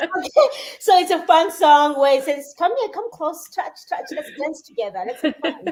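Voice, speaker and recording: A woman with a South African accent speaks at a moderate pace, her pitch extremely high. Her intonation is lively and her loudness swings widely. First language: Xhosa. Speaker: musician. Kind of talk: casual chat. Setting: live stream. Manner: halting.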